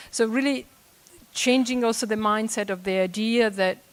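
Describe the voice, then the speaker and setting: The speaker talks at a moderate pace with an Italian accent. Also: woman. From Italy. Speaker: audience member. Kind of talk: panel discussion comment. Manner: halting.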